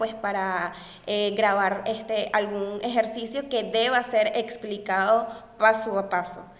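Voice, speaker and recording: With audible room echo, a woman speaks in a fairly high, monotone and flat voice. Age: 20s. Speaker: tutoring entrepreneur. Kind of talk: interview.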